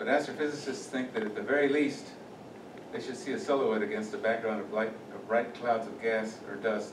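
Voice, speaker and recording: A man at a medium pitch talks at a moderate pace with ordinary pitch variation and long, frequent pauses, amid noticeable background noise and audible room echo. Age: 70s. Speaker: retired aerospace engineer giving a talk. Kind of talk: lecture. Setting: meeting room with audience. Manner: halting.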